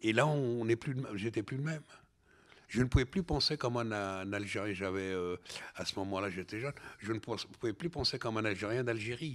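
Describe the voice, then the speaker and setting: At a fairly quick pace, a man with a medium pitch talks with ordinary pitch variation in a very clean recording with a silent background. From Algeria, then France from age ten. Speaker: novelist and filmmaker. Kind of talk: interview conversation. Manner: halting, many hesitations and repetitions.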